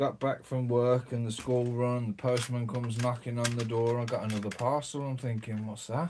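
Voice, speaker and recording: Speaking at a moderate pace, a man with a British accent keeps a monotone, flat intonation. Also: medium pitch for a man, hardly any pauses. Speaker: LEGO YouTuber. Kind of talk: casual vlog chat.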